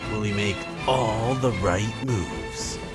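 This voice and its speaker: A man speaks while music plays in the background. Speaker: voice-over narrator. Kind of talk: mock-epic sports season preview narration.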